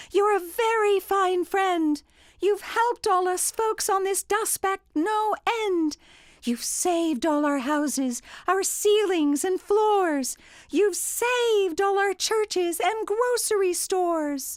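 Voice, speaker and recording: Putting on a squeaky character voice, a woman talks at an extremely high pitch with lively intonation, a fairly slow pace and very even loudness. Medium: read story. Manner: piping.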